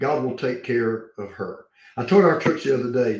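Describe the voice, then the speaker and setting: A somewhat breathy man's voice at a moderate pace, with lively intonation. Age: 70s. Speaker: pastor. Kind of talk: interview answer, preacher style.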